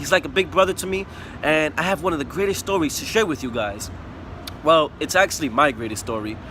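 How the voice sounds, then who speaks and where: Someone with a New York accent talks at a fairly quick pace with very wide pitch swings over noticeable background noise. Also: man. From New York City (Bronx), US. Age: 20s. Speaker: student testimonial giver, painter. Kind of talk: testimonial. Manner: casual, slightly halting.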